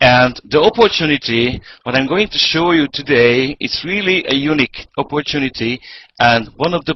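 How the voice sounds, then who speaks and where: Lively intonation marks this speaker with a Hungarian accent, who talks at a moderate pace. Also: man. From Hungary. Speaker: network marketing presenter. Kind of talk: sales pitch. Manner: halting.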